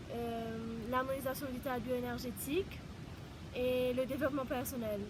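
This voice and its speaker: Room echo is audible as a woman speaks with a Mauritian accent. Her high voice moves at a fairly slow pace. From Mauritius. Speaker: holistic therapist. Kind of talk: personal introduction vlog. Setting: outdoors in mountains. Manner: halting.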